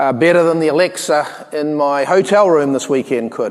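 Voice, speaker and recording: Against noticeable background noise, a man speaks at a moderate pace. He has a slight New Zealand accent and ordinary pitch variation. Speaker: tech company co-founder. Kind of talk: conference keynote talk. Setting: stage with audience. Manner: hesitant, many fillers.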